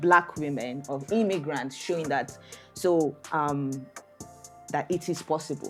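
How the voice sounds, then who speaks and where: Over music in the background, a woman with a very deep, low pitch talks at a fairly slow pace with long, frequent pauses. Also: ordinary pitch variation. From Nigeria. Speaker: immigration lawyer. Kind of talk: podcast interview answer.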